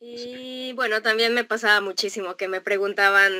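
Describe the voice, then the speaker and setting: A woman's fairly high, bright and sharp voice against a quiet background. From Mexico. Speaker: traveler living abroad; guest. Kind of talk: casual interview. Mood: cheerful, smiling, laughing. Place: home room.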